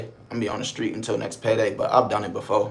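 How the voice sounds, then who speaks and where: A man with an American accent talks at a very fast pace and a medium pitch. Noticeable background noise runs behind him. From Buffalo, New York, US. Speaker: live streamer. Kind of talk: casual live stream chat. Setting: motel room.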